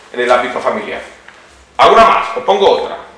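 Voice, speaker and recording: Amid noticeable background noise and audible room echo, a man talks. His pace is fairly quick. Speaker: psychologist, lecturer. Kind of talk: lecture. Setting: hall with live audience. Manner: interactive, conversational.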